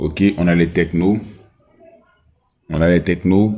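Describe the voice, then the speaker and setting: Very slowly, a man speaks at a very deep, low pitch with fairly even intonation. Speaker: phone repair technician / tech tutor. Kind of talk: tutorial. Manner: slow, deliberate; hesitant, many fillers.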